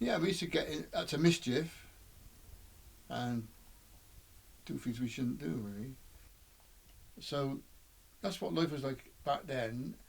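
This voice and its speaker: The speaker has a West Country accent and a somewhat breathy voice with lively intonation. The delivery is fairly slow, broken by long, frequent pauses. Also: man, medium pitch for a man. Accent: West Country English (Bristol). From England, Bristol. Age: 70s. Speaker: interviewee recalling his life. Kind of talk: oral history reminiscence. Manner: halting, with repeated words and fillers.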